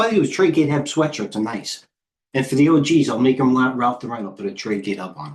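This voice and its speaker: A man with a New York accent talks at a very fast pace. His pitch sits in the medium range. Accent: heavy New York. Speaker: stock trader and trading coach. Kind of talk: live trading stream commentary. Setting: live stream. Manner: animated.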